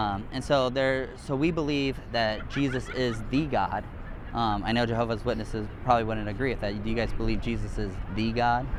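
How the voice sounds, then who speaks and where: Talking fairly quickly, a man is heard with audible room echo and noticeable background noise. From Hawaii. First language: Hawaiian. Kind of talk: casual religious debate. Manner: hesitant, many fillers.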